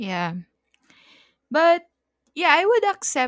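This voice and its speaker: Very slowly, a woman speaks with very wide pitch swings in a dry, close sound with no echo. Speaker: podcast co-host. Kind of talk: casual chat.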